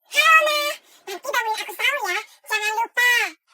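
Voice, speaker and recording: A squeaky, cartoonish character voice with an extremely high pitch and a whiny tone. It moves at a fairly quick pace. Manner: whiny, demanding.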